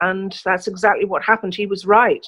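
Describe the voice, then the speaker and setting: Bright and sharp in tone, a woman with a southern English accent speaks at a medium pitch with fairly even intonation. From England, London. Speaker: journalist. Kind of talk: interview. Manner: hesitant fillers.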